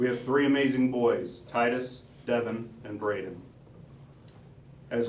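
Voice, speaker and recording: Amid noticeable background noise and audible room echo, a man of medium pitch talks at a fairly slow pace with ordinary pitch variation. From US Midwest, southern Illinois (Dupo). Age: 40s. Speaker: police officer and sheriff candidate. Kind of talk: campaign announcement speech. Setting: party headquarters with audience.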